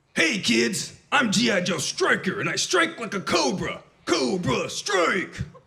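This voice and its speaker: A man's put-on character voice, high in pitch and fairly slow in pace. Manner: gruff, bold.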